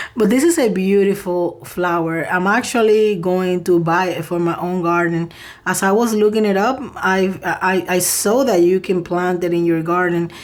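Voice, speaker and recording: A soft-spoken woman with fairly even intonation. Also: medium pitch for a woman, hardly any pauses. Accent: non-native. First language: not English. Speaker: tarot reader. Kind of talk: tarot reading. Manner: slow.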